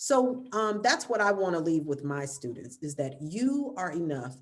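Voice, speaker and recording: Speaking at a fairly slow pace, a woman with an American accent makes very wide pitch swings. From US South. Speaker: actor and arts educator. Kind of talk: panel discussion.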